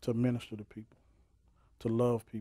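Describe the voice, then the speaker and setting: Over a quiet background, the voice has a dark, mellow tone, monotone, flat intonation and a dry sound with no echo. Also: man. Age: 40s. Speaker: minister. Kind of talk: testimony. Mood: warm, earnest. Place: studio. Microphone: lapel.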